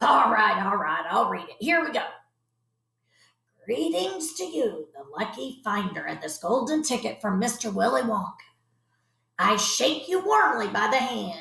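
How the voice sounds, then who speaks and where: Putting on a character voice, a woman speaks at a fairly high pitch and moderate pace with very wide pitch swings, long, frequent pauses and a slight echo. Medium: read story.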